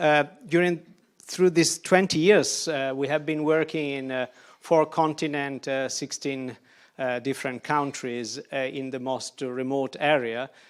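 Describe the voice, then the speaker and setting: On a very clean recording with a silent background, a man with an Italian accent speaks at a fairly slow pace in a fairly high voice. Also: fairly even intonation. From Italy. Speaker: architect. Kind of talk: lecture. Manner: halting, many fillers.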